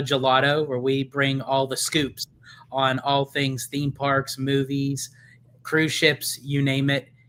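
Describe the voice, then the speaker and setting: A bright, sharp voice in a Pennsylvania accent, at a very slow pace. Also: man. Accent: Pennsylvanian. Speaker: theme park content creator. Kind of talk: casual live Q&A chat.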